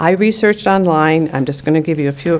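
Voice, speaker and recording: In an unremarkable speaking voice, a woman talks at a fairly quick pace with fairly low pitch and fairly even intonation. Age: 60s. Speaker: public commenter at council meeting. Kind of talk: public comment testimony.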